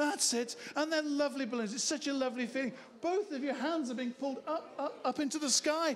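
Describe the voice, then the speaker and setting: Over light background noise, a man speaks at a fairly quick pace in a high pitch. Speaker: stage hypnotist. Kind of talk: hypnotic induction patter for a live comedy show. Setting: stage with audience. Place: bar. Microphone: handheld.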